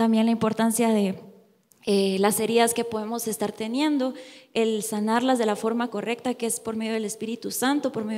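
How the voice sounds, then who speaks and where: A woman speaks at a fairly high pitch in a dark, mellow tone. Her pace is moderate and her pitch variation ordinary, on a very clean recording with a silent background. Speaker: youth church speaker. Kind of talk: sermon. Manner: halting.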